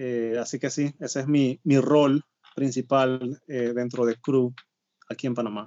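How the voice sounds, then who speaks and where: A man speaks at a fairly slow pace and a medium pitch. His intonation is monotone and flat. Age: 30s. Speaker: missionary, sports ministry coordinator. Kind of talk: interview conversation. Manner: hesitant, many filler sounds.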